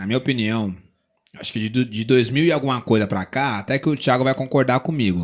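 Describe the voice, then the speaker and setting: A man talks fairly quickly in an ordinary speaking voice, keeping a medium pitch with ordinary pitch variation. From São Paulo city, Brazil. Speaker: rapper and singer-songwriter. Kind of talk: casual interview chat.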